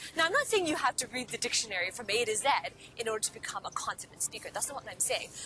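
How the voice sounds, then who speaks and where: A woman with a Cantonese accent speaks at a high pitch with lively intonation. Music plays in the background. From Hong Kong. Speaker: podcast host and career coach. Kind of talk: motivational talk to camera. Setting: outdoors in a park.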